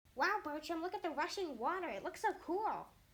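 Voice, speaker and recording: In a put-on character voice, the speaker squeaks at an extremely high pitch and a fairly quick pace. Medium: read story. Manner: bright, playful.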